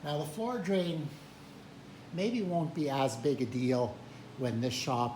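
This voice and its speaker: A man speaks very slowly in a somewhat breathy voice with ordinary pitch variation, and room echo is audible. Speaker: hobby woodworker and retired teacher. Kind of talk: tutorial. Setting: workshop. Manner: hesitant, filler words.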